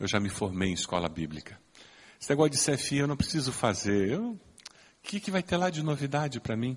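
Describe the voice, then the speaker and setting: A somewhat breathy man's voice at a medium pitch, fairly quick, with very wide pitch swings. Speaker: pastor. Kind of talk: sermon. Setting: church.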